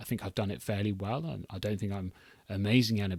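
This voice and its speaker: A man speaks in a somewhat breathy voice at a fairly low pitch, with fairly even intonation. The recording is very clean, with a silent background. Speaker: podcast host. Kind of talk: solo podcast monologue. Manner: laid-back, calm tone; halting, many restarts.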